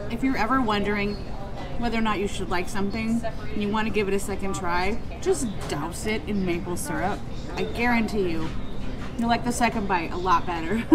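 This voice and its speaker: A woman speaks fairly quickly with ordinary pitch variation, with noticeable background noise behind her. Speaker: food reviewer. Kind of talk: casual vlog chat. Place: cafe.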